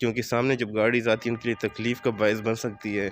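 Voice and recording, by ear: At a fast pace, a man speaks with a fairly low pitch and little pitch movement.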